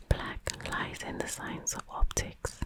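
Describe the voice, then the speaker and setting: Amid noticeable background noise, the speaker whispers at a moderate pace. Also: woman. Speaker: ASMR creator. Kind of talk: ASMR bedtime book reading. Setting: close-up microphone, headphones recommended. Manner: whispered, soft-spoken.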